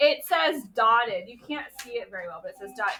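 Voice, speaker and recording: A woman uses a raised, projected voice at a high pitch. Her tone is animated, with very wide pitch swings. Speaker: art teacher. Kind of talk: classroom instruction to young children. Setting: classroom.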